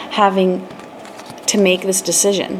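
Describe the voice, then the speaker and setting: The pace of this woman's speech is fairly slow. Noticeable background noise can be heard too. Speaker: tarot reader. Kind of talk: tarot reading. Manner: hesitant, many fillers.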